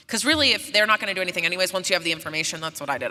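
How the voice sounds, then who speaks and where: Speaking with an American accent, a woman sounds animated, her fairly low voice showing ordinary pitch variation. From West Virginia. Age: 30s. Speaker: podcast host and filmmaker. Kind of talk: live conversation on stage. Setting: stage with live audience. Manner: casual, animated.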